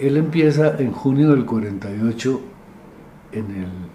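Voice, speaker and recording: A man's voice with very wide pitch swings, set in audible room echo and noticeable background noise. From Colombia, Medellín (Antioquia). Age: 70s. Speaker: literature professor and critic. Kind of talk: interview, life story.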